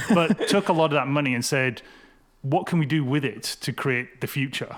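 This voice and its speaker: This man's voice sits fairly high in pitch, with ordinary pitch variation. He talks at a moderate pace. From Wales (Cardiff), UK. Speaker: realtor. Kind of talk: podcast interview. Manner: animated, conversational.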